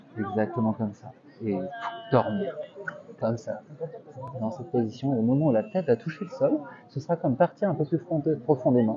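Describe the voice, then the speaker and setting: A soft-spoken man with a gentle tone and lively intonation at a moderate pace, over noticeable background noise. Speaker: street hypnotist. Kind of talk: hypnosis induction, guided relaxation. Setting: outdoors, in a park. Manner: soft-spoken, repetitive, gentle. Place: garden. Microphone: lapel.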